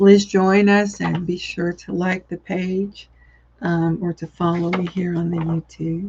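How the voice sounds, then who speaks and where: In a Southern US accent, a woman with a fairly low, somewhat breathy voice speaks at a fairly slow pace in a monotone with flat intonation. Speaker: psychic medium. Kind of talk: live-stream psychic reading. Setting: live video stream.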